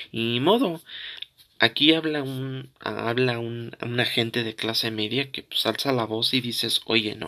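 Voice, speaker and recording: A man's medium-pitched voice, bright and sharp in tone, at a fairly slow pace with fairly even intonation. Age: 20s. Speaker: political commentary podcaster. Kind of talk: opinion monologue. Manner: halting, many fillers and repetitions.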